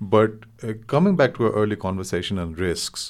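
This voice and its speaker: In a very clean recording with a silent background, a man with a Nepali accent speaks at a moderate pace. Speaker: interviewer, policy think tank director. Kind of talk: interview conversation.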